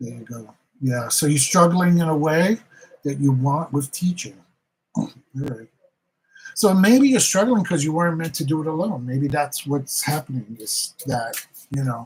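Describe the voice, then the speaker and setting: A man speaks at a moderate pace with long, frequent pauses. His voice is fairly high in pitch and somewhat breathy. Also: lively intonation. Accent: Bronx. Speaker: tarot reader. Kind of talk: live stream tarot reading and chat. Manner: animated.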